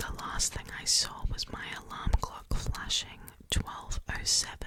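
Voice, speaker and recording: A woman whispers, breathy and very slow, with noticeable background noise. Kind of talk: horror story reading. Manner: whispered, breathy.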